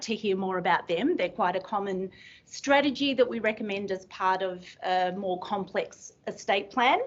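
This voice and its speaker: In an Australian accent, a woman speaks at a moderate pace with ordinary pitch variation. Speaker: estate planning lawyer. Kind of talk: seminar presentation. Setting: room with live audience.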